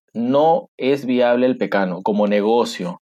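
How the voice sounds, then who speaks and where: A man's voice of medium pitch with a dark, mellow tone. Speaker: agronomist. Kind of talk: interview. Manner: emphatic.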